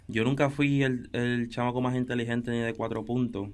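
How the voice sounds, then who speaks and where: A man has an unremarkable speaking voice at medium pitch. He talks at a fairly quick pace with fairly even intonation. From Puerto Rico, early years in Dominican Republic. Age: 20s. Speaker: photographer and videographer. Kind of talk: casual interview chat.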